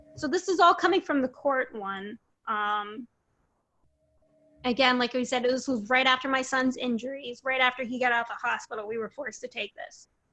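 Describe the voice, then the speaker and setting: Speaking in a high, raised and projected voice, a woman with an American accent sounds bright and sharp. Her pitch varies in an ordinary way. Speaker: parent sharing custody case experience. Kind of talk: interview testimony.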